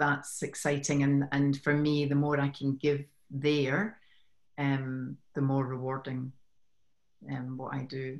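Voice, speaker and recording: A woman speaks at a very slow pace in a very deep, low pitch. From Scotland. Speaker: women's business coach. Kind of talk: casual interview. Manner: warm, friendly, laughs often.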